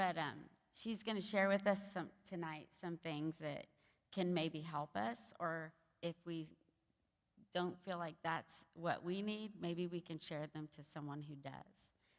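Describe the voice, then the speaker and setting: A woman speaks in an American accent, her pitch fairly low. Her pace is fairly slow, and her pitch varies in an ordinary way. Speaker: event organizer. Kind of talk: event introduction. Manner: loud.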